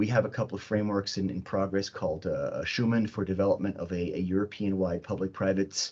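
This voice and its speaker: A man talks at a very fast pace with hardly any pauses. His fairly low pitch stays in a monotone, flat intonation. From Switzerland. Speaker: cybersecurity expert, workshop panelist. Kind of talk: panel presentation. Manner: hesitant, many fillers and repetitions.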